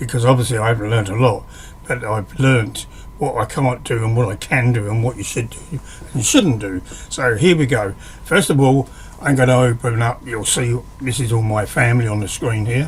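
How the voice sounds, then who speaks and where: Over noticeable background noise, a man talks at a fairly quick pace in a medium-pitched voice with ordinary pitch variation. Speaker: hobbyist woodworker teaching software. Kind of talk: screen-recorded tutorial. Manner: hesitant, with fillers and restarts; casual, conversational.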